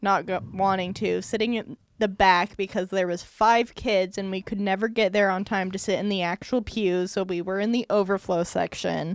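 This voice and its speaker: The delivery moves at a moderate pace in a monotone, flat intonation. There are hardly any pauses. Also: woman, medium pitch for a woman. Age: 20s. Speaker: podcast guest, daughter of the hosts. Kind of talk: casual family interview.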